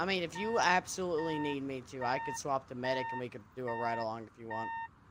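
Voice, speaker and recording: Speaking at a very fast pace with a slight Southern US accent, a man uses lively intonation at a medium pitch over noticeable background noise. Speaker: gamer in roleplay server. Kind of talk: casual chat.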